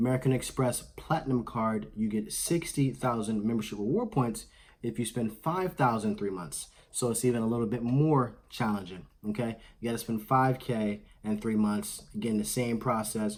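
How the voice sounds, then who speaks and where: This man speaks at a moderate pace. His pitch shows ordinary variation. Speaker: credit card YouTuber. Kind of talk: tutorial. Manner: loud. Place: home room.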